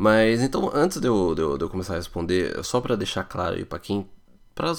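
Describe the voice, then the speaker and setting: On a very clean recording with a silent background, a man with an unremarkable speaking voice and a fairly low pitch speaks at a fairly quick pace with lively intonation. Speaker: podcast host answering immigration questions. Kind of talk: listener Q&A podcast.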